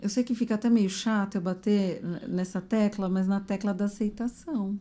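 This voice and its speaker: A woman's somewhat breathy, dark, mellow voice at a moderate pace. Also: medium pitch for a woman, fairly even intonation. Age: 50s. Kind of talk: casual podcast conversation.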